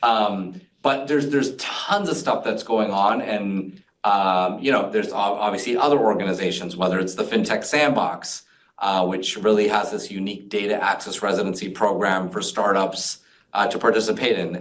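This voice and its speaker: A man with a fairly low pitch and ordinary pitch variation at a moderate pace, with audible room echo. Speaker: fintech community leader. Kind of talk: interview conversation. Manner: energetic; many fillers.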